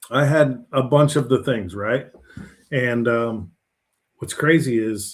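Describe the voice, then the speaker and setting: A somewhat breathy male voice at a medium pitch. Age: 50s. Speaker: health coach and oil field worker. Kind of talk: live stream talk. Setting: live stream. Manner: casual.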